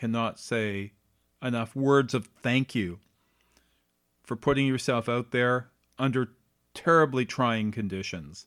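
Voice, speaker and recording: A man with a medium pitch speaks fairly slowly, his pitch varying in an ordinary way. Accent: Canadian. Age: 50s. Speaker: podcast host. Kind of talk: solo monologue podcast.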